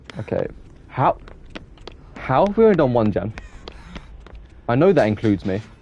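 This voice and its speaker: At a fairly quick pace yet with long, frequent pauses, a man speaks at a medium pitch with very wide pitch swings amid noticeable background noise. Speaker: gaming streamer. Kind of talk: casual live-stream gameplay chat. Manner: fast, sometimes trips over words.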